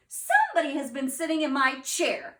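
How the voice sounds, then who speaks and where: A woman growls in a put-on character voice, high in pitch. Her pace is moderate and her pitch variation ordinary. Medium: read story.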